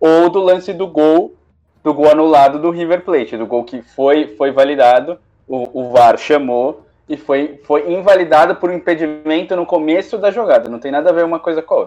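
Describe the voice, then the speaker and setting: A man at a moderate pace, fairly high in pitch with ordinary pitch variation. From Brazil. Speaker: sports radio co-host. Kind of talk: live sports talk show. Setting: remote via Discord. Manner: halting, many repetitions.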